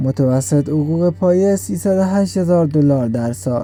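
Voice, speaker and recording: With a dark, mellow tone and a fairly high pitch, a man speaks at a fairly slow pace using lively intonation. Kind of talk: fact list narration.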